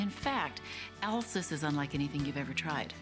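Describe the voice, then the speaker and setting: A woman speaks with very wide swings in pitch over music playing in the background. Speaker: infomercial host. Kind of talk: infomercial host talk to camera.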